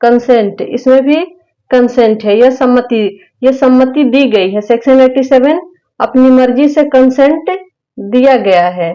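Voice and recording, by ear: Her tone dark and mellow, a woman speaks in a high pitch at a fairly slow pace, with few pauses and ordinary pitch variation.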